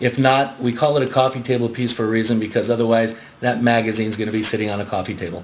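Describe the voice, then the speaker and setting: Medium in pitch, a man speaks at a very fast pace with fairly even intonation. Noticeable background noise runs underneath. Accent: American. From Southern California, Garden Grove. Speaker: magazine sales executive. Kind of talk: radio interview.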